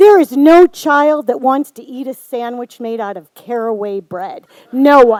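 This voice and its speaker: A woman's high-pitched voice with an Upper Midwest accent, fairly slow, with lively intonation. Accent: Upper Midwest American. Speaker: storyteller. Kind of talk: live storytelling performance.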